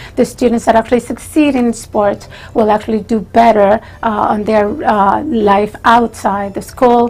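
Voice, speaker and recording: A woman with a Spanish accent talks at a fairly high pitch with fairly even intonation, against noticeable background noise. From Chile. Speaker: retired teacher and school trustee candidate. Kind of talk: interview. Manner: slow; formal.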